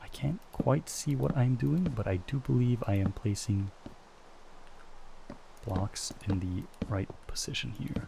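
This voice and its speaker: Soft-spoken, a man talks at a medium pitch with very wide pitch swings. Long pauses come often. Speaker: ASMR gaming creator. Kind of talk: soft-spoken ASMR gameplay commentary.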